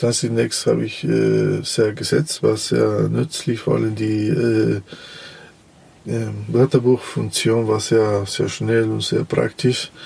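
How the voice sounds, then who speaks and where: A man talks very slowly, leaving long, frequent pauses, as noticeable background noise plays behind him. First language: Spanish (speaking German). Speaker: translator. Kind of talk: interview. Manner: halting, many fillers.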